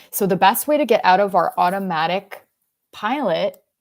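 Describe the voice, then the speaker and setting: With vocal fry and a Canadian accent, the speaker talks at a moderate pace on a very clean recording with a silent background. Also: woman. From Quebec, rural anglophone village. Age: 40s. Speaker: self-help speaker. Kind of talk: motivational talk. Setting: livestream. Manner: rambling, halting.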